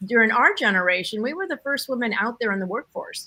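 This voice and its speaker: Using a normal speaking voice, a woman talks at a fairly high pitch. Her intonation is lively. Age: 60s. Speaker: discussion panelist. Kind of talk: group discussion.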